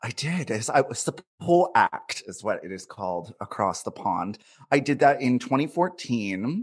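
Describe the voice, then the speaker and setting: At a moderate pace, a man speaks at medium pitch with vocal fry, very wide pitch swings and big swings in loudness. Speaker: comedian. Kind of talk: casual chat. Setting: video call.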